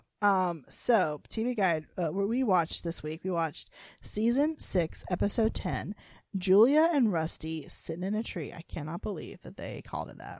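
On a very clean recording with a silent background, a woman with an ordinary speaking voice and medium pitch speaks at a moderate pace, her intonation lively and her loudness swinging widely. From North Carolina. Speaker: podcast co-host. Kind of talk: casual chat.

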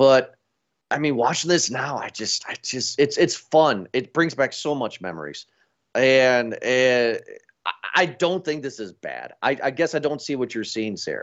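A man talks at medium pitch and a fairly slow pace. He has a plain, everyday voice with ordinary pitch variation. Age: 30s. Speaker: podcast host. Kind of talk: casual chat.

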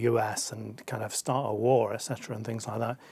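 Medium pitch from a male speaker, backed by clearly audible background noise. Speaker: interviewer and show host. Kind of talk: interview.

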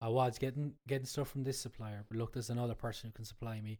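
With an Irish accent, a man talks at a very fast pace in a dark, mellow tone of medium pitch, his intonation fairly even. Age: 30s. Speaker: chef. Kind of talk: casual chat. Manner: halting.

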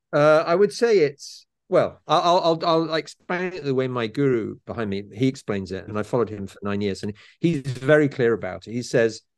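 With lively intonation and medium pitch, a man talks at a moderate speed in an ordinary speaking voice. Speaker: author. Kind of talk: interview conversation.

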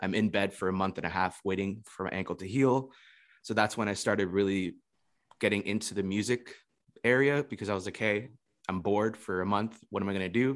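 With an American accent, a man in a plain, everyday voice talks at a fairly low pitch with fairly even intonation. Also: fairly quick pace. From Florida. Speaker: ukulele musician and online teacher. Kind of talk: casual interview chat.

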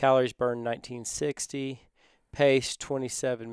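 Speaking in a Texan accent, a man keeps a medium pitch and a moderate pace, his intonation monotone and flat. The sound is dry and close with no echo, in a very clean recording with a silent background. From Texas. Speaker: company co-founder. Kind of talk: casual interview.

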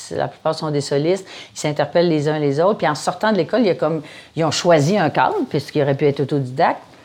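A woman with a very deep, low pitch races along at a very fast pace, using ordinary pitch variation. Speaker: founder and director of a comedy school. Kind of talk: casual interview.

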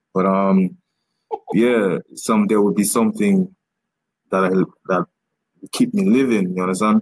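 With long, frequent pauses, a man speaks in a fairly low, monotone, flat voice at very even loudness, captured with a dry, close sound and no echo. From Dominica. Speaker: comedian. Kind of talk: casual chat. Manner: fast talker; halting.

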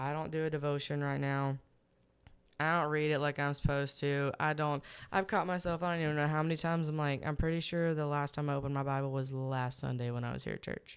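Speaking very fast with a Texas accent, a woman's very deep, low voice stays monotone and flat. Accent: Southern US (Texas). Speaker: podcast guest. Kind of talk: casual chat.

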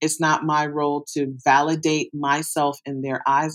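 The pitch here is very deep and low. It belongs to a woman. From US Midwest, Detroit. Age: 40s. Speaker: sex educator. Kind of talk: interview.

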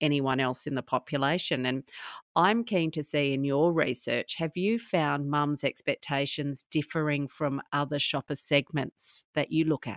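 This woman has a very deep, low pitch, ordinary pitch variation and a moderate pace. Her voice sounds dry and close with no echo, on a very clean recording with a silent background. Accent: Australian. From Australia. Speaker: podcast host. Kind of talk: interview.

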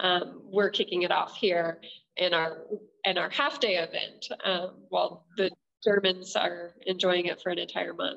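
A normal speaking voice with an American accent, a fairly slow pace and ordinary pitch variation. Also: woman, medium pitch for a woman. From southern Oregon, Klamath Falls. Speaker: economic development project manager. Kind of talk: interview.

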